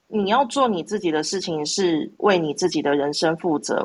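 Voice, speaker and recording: Lively intonation marks this speech, delivered at a moderate pace. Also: woman. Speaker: audience participant. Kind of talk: casual chat. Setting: live social audio room.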